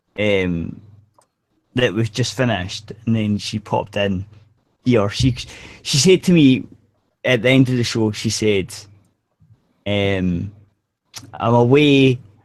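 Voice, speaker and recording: A man in a Scottish accent at a medium pitch with ordinary pitch variation, speaking at a very slow pace with long, frequent pauses. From Scotland. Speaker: podcast co-host. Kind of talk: casual group chat. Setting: online video hangout.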